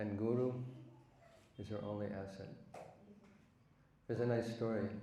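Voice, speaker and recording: A man with a fairly low pitch speaks at a moderate pace in a monotone, flat delivery, with audible room echo around him. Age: 70s. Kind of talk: religious discourse.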